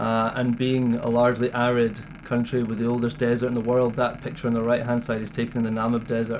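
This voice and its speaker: A man with a Scottish accent speaks at a fairly quick pace in a medium pitch, his intonation monotone and flat. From Scotland, Dumfries. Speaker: wildlife conservationist. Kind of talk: interview.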